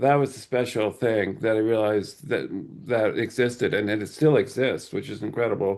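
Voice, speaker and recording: A man with an American accent talks at a moderate pace and medium pitch, with fairly even intonation and an unremarkable speaking voice. The background is quiet. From New Jersey. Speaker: writer. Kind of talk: interview.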